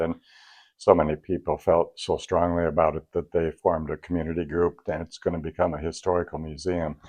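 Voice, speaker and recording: A man with an American accent talks at a fairly quick pace in a very deep, low voice, his intonation flat and monotone. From Michigan, US Midwest. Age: 70s. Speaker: drummer and vintage drum historian. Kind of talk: interview storytelling. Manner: halting, many fillers and restarts.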